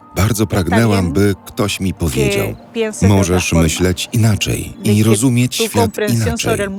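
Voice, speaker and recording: Very slow speech from a fairly low-pitched man with ordinary pitch variation, music in the background. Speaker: voice-over narrator. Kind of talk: documentary voice-over translation.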